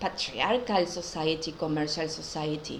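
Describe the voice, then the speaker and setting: A woman with a non-native accent speaks at a very slow pace. Noticeable background noise is present. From Argentina, Buenos Aires. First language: Spanish. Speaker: spiritual teacher. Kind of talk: casual talk to camera. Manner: hesitant.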